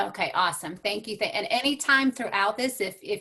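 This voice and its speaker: A woman with an American accent talks at a fairly quick pace. Her tone is bright and sharp, and her intonation is lively. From New York. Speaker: transformational coach and speaker. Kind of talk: motivational talk.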